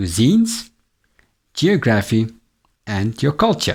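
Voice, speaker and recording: A man with a South African accent speaks at a fairly slow pace and a medium pitch, on a very clean recording with a silent background. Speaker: English teacher. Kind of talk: tutor self-introduction to camera. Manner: friendly, upbeat.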